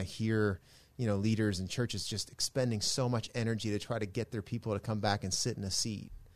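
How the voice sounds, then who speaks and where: At a fairly quick pace, a man with a plain, everyday voice speaks at medium pitch with fairly even intonation against a quiet background. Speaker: podcast host, pastor. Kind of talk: interview conversation. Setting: studio.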